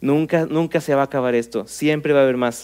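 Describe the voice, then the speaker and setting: In a normal speaking voice, a man talks at a moderate pace. Ordinary pitch variation colors his fairly high voice. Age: 30s. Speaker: pastor. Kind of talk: sermon.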